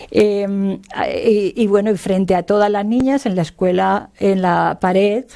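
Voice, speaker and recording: A woman's dark, mellow tone at a fairly slow pace, with fairly even intonation. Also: medium pitch for a woman. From Spain, Hellín (Albacete, Castilla-La Mancha). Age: 60s. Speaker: retired labour lawyer and feminist activist. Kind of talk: oral history interview. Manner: hesitant, many fillers.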